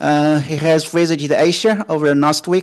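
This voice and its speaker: A man speaks with a Chinese accent. The background is quiet. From China. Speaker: junior researcher in international relations. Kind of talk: solo talk / discussion monologue. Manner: halting, many fillers.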